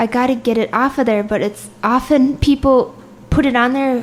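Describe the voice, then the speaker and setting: A high-pitched woman at a moderate pace, with noticeable background noise. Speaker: comedian. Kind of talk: casual chat.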